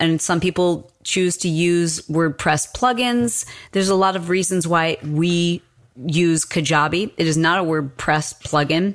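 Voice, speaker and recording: A woman with a plain, everyday voice, fairly low in pitch, with ordinary pitch variation and very even loudness, in a very clean recording against a silent background. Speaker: fitness presenter and business mentor. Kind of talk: coaching conversation.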